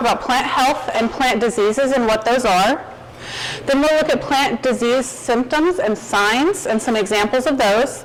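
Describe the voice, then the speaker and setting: A woman with a slight Arkansas accent speaks at a moderate pace in a high pitch, with ordinary pitch variation and very even loudness, amid noticeable background noise and audible room echo. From Arkansas, Fayetteville. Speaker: plant pathologist, guest lecturer. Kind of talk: lecture.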